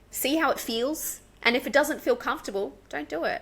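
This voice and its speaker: A woman with an Australian accent, lively intonation and a moderate pace. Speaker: English teacher. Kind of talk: podcast interview answer.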